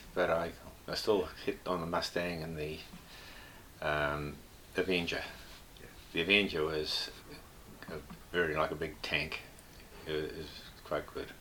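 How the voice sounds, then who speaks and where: A man speaks with a very deep, low pitch but a bright, sharp tone, fairly slowly and in a monotone, flat intonation. Long, frequent pauses break it up, and room echo is audible. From New Zealand, Northland. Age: 70s. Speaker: retired air force and aviation engineer. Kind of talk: interview, casual reminiscence. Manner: hesitant, with frequent fillers.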